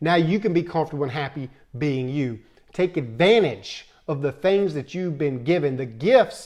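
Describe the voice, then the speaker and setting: Here a man speaks with an American accent. His pace is moderate. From Tennessee. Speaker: motivational video host. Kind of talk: motivational talk.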